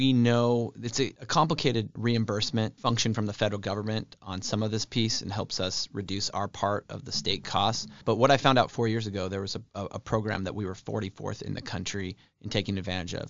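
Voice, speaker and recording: Fairly low in pitch with ordinary pitch variation, a man with an American accent speaks at a fairly quick pace. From Spokane, Washington. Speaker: state legislator. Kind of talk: interview. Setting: studio. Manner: frequent fillers (um, uh).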